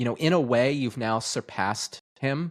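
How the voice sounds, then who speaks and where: A man has an unremarkable speaking voice at a medium pitch, moving at a moderate pace with lively intonation. The sound is dry and close, with no echo. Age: 30s. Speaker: podcast host. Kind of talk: casual interview chat.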